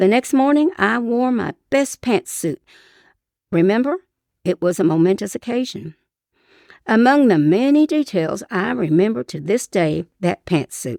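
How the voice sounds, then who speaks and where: At a moderate pace, a woman speaks with very wide pitch swings, the recording very clean with a silent background and a dry, close sound with no echo. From Eastern Kentucky. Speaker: retired teacher and writer. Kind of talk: personal memoir story reading.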